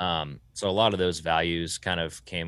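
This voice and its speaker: The speaker has a Southern US accent. It is a very clean recording with a silent background. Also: man. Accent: Southern US (Georgia). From US South. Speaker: sound engineer and studio owner. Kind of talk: casual interview.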